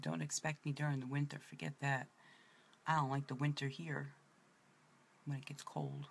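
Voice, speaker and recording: A woman with a very deep, low pitch and a somewhat breathy voice speaks at a moderate pace with fairly even intonation and long, frequent pauses. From New York City (Brooklyn). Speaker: makeup presenter. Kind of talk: makeup tutorial. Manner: casual, chatty.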